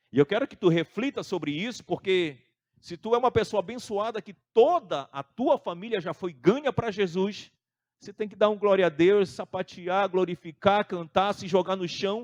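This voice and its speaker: Over a quiet background, a man with a Brazilian accent talks at a moderate pace, his pitch high and his intonation lively. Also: big swings in loudness, dry, close sound with no echo. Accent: non-Santa Catarina Brazilian. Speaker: pastor. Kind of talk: sermon.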